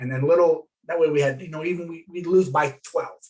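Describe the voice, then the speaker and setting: A man's somewhat breathy voice at a very fast pace. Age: 60s. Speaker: former coach and athletic director. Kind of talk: interview. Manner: halting.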